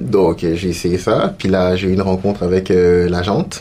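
Noticeable background noise is present. A man with a very deep, low pitch speaks at a fairly slow pace. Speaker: actor and multidisciplinary artist. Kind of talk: casual interview.

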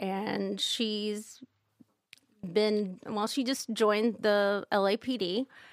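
At a very slow pace, a woman with an American accent speaks at a fairly high pitch in a very clean recording with a silent background and a dry, close sound with no echo. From Kansas, US Midwest. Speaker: comedic performer and comic writer. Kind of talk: casual chat.

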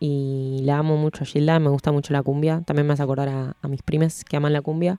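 The sound is dry and close, with no echo. A woman speaks with a very deep, low pitch. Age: 20s. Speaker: radio and audiovisual producer. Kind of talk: casual chat.

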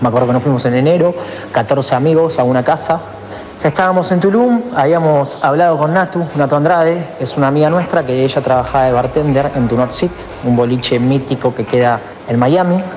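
With an Argentine accent, a man speaks at a fairly quick pace in a fairly high pitch and very even loudness. Noticeable background noise and audible room echo surround him. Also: ordinary pitch variation. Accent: Rioplatense Argentine Spanish. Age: 20s. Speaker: DJ and electronic music producer. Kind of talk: interview. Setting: recorded voice message.

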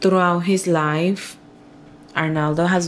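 A woman speaks very slowly in a Spanish accent. Her intonation is monotone and flat. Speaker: nurse and sister of the subject. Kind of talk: interview. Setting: in a car.

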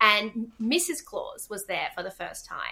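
A woman in an Australian accent talks at a moderate pace, her fairly high voice bright and sharp in tone. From Western Australia, Perth. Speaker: theatre producer and director. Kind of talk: casual chat.

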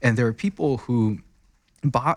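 A man speaks at a moderate pace with a Chinese accent. The recording is very clean, with a silent background. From China. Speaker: crypto mining investment researcher. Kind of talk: interview. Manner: halting.

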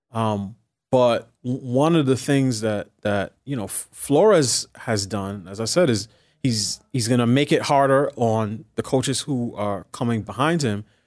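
A man's plain, everyday voice, medium in pitch with lively intonation, on a very clean recording with a silent background. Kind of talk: interview. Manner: measured, thoughtful.

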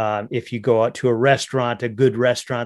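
Over a quiet background, a man with an American accent and medium pitch talks at a fairly quick pace. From north central Minnesota. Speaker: hunting and fishing advocate. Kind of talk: podcast interview. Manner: halting, many repeated words and fillers.

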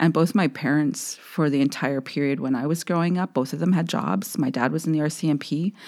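A woman speaks at a fairly quick pace with hardly any pauses, her pitch very deep and low with ordinary variation. Her loudness stays very even throughout. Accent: western Canadian. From Saskatchewan, Canada (Saskatoon). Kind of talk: interview conversation.

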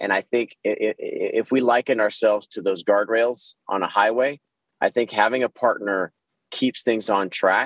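A man with an American accent speaks at a medium pitch and fairly slow pace in an unremarkable speaking voice. His intonation is fairly even, and the sound is dry and close with no echo. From Texas, Dallas. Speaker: organizational consultant. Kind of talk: interview.

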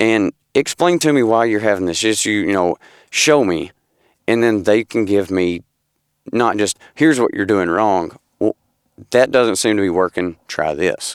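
In a Southern US accent, a fairly low-voiced man speaks at a moderate pace with lively intonation and long, frequent pauses, in a very clean, dry, close recording with no echo and a silent background. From Tennessee. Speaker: amateur gun dog handler. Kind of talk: interview. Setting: studio.

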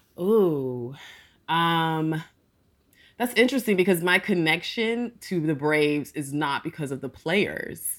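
The recording is very clean, with a silent background. A woman speaks at a very slow pace with lively intonation. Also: fairly low pitch for a woman. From US South, Atlanta, Georgia. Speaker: political consultant. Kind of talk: interview conversation.

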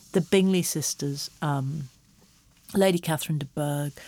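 In a very clean recording with a silent background and a dry, close sound free of echo, a woman speaks at a moderate pace with a very deep, low pitch and fairly even intonation. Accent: English. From England. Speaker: screenwriter and creative writing professor. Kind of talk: casual interview chat. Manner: hesitant, many fillers.

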